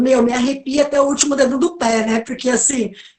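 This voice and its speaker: High pitch and fairly even intonation in a woman's voice. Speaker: professor of political communication. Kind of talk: online lecture talk.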